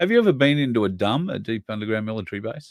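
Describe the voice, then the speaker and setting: Talking at a very fast pace, a man with an Australian accent uses a fairly low pitch. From Queensland, Australia. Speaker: online show host. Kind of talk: interview. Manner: hesitant, many fillers.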